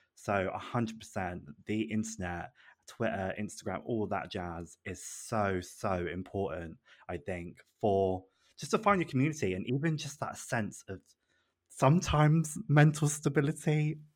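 On a very clean recording with a silent background, a man at a medium pitch swings very widely in pitch. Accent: British. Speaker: podcast guest. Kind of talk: casual chat.

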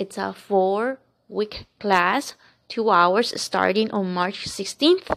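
A woman talks with a Spanish accent at a medium pitch. Her pace is very slow. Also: ordinary pitch variation. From Colombia. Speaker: podcast host, empowerment coach and Reiki practitioner. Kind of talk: casual spiritual monologue.

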